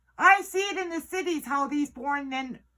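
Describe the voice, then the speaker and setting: A woman speaks in a raised, projected voice at a fairly slow pace. Her tone is bright, sharp and animated, with very wide pitch swings. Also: very clean recording, silent background. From Northwest Territories, Canada. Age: 50s. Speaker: First Nations elder. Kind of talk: political speech. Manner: forceful, animated.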